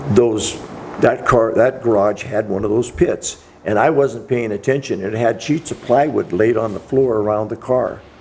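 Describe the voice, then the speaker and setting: Noticeable background noise sits behind a man of medium pitch. He talks at a fairly slow pace with ordinary pitch variation. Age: 80s. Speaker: retired car collection assistant. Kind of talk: casual interview storytelling. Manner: halting, with frequent fillers and restarts.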